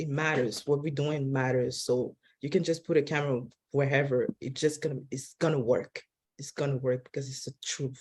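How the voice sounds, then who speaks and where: A woman with a non-native accent talks at a moderate pace, somewhat breathy. Her intonation is monotone and flat, with big swings in loudness. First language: not English. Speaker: film director. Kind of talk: press junket interview. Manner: halting, many restarts.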